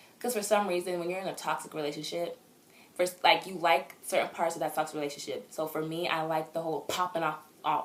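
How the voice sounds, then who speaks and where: The speech comes at a very fast pace in an animated tone. Noticeable background noise runs underneath. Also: woman. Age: 20s. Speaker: vlogger. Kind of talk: casual chat.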